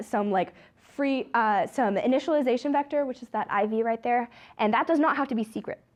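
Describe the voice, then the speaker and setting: Over a quiet background, a woman speaks in a high voice with ordinary pitch variation. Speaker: student club officer giving a talk. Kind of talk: lecture. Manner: fast; casual, many fillers.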